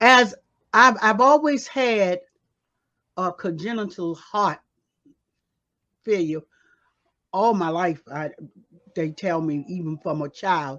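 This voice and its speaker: Delivery is very slow, with long, frequent pauses. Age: 80s+. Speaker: pastor and activist. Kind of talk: interview testimony. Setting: radio studio. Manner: halting.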